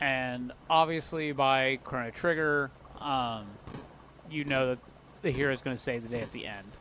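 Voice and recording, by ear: Natural-voiced reading aloud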